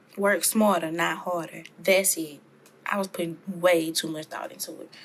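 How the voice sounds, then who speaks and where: A woman with a Louisiana accent speaks at a moderate pace in a fairly low pitch, her intonation monotone and flat while her loudness swings widely. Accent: Louisiana Southern US. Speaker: soap maker youtuber. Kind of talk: tutorial. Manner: casual, chatty.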